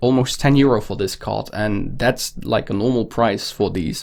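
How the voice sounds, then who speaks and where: With a Dutch accent, a man speaks at a moderate pace and a medium pitch. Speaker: card collector YouTuber. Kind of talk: unboxing show-and-tell. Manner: hesitant, with fillers.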